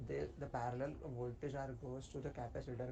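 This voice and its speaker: A quiet man's monotone, flat voice with audible room echo. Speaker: student presenting a project. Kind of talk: project presentation. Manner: halting, many fillers.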